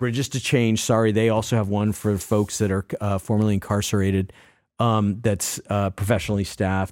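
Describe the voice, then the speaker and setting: A man with an American accent talks at a moderate pace in an ordinary speaking voice, pitched fairly low. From Massachusetts. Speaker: addiction recovery advocate. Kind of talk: interview.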